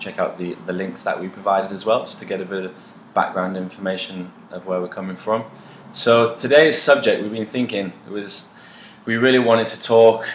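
With audible room echo and light background noise, a man talks at a fairly low pitch with ordinary pitch variation. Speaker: co-host. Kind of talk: casual vlog chat. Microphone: camera far.

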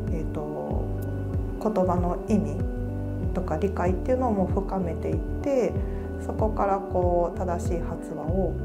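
Clear music in the background behind a fairly slow pace. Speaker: speech therapist. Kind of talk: interview answer. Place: office. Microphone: lapel.

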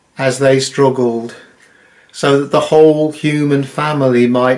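A man with a British accent. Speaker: Methodist minister. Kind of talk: solemn intercessory prayer, read from a text. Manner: measured, reverent cadence with repeated 'Let us pray' petitions; earnest, heartfelt and formal. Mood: solemn, reverent. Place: home room. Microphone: webcam.

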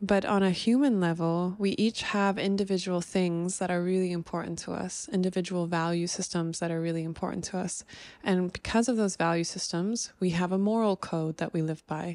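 A woman talks at a moderate pace with fairly even intonation. The background is quiet, and the sound is dry with no echo. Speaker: vlogger. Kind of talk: casual vlog chat. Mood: reflective, earnest. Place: home room. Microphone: handheld.

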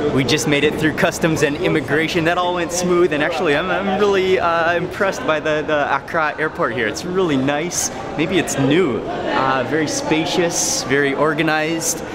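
Music plays in the background as a man speaks at a moderate pace with hardly any pauses. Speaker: travel vlogger. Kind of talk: casual vlog chat. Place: station. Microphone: phone near.

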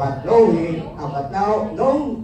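Noticeable background noise accompanies a man speaking at a very slow pace. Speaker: church reader or emcee. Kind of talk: reading scripture aloud.

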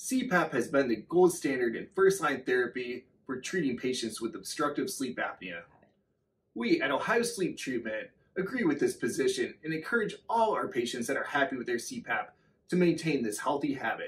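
A man's voice at a moderate pace, full of very wide pitch swings. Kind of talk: promotional address to camera. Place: office.

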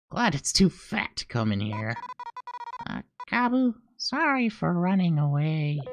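A put-on character voice at a middle pitch swings very widely up and down. It moves at a fairly slow pace, with long, frequent pauses. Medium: role play. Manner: casual, sassy.

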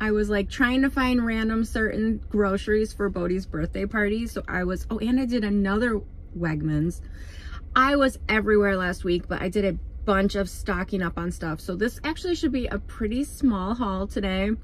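A somewhat breathy voice moves at a moderate pace with ordinary pitch variation in a dry sound with no echo. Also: woman. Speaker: mother vlogger. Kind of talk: casual vlog chat. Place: car. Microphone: phone near.

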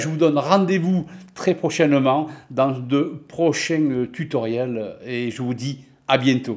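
A man with a southern French accent, fairly high-pitched, speaking very slowly with ordinary pitch variation against a quiet background. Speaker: office software and finance tutor; finance tutor. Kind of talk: self-introduction; channel self-introduction. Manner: hesitant, many fillers. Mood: friendly, warm. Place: home room. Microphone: webcam.

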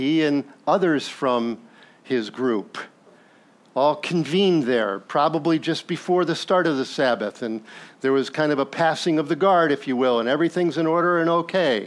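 A man with an unremarkable speaking voice, fairly high in pitch, speaks at a moderate pace with ordinary pitch variation and very even loudness. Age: 60s. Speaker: pastor. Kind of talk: sermon. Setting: church. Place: church.

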